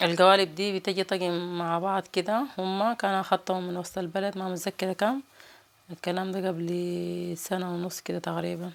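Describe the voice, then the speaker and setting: A woman with a Sudanese accent speaks fairly slowly in a monotone, flat delivery. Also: medium pitch for a woman, very clean recording, silent background. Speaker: cooking vlogger. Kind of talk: cooking tutorial.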